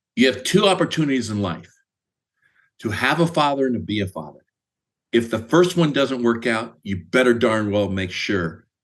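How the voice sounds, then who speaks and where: Over a quiet background, a man with a Midwestern American accent speaks at a moderate pace in a medium pitch with very wide pitch swings. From US Midwest, Indiana. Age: 60s. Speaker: sales executive. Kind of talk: interview.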